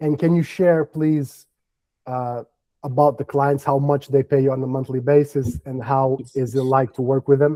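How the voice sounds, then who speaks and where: Speaking with a Portuguese accent, a man uses a fairly high pitch at a moderate pace. His tone is dark and mellow, his intonation monotone and flat. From Portugal. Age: 30s. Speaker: business development coach. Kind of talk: live workshop interview.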